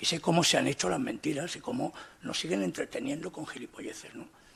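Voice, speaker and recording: A man talks at a moderate pace. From Spain, Alicante. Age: 60s. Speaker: writer, debate panelist. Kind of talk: panel debate. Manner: animated.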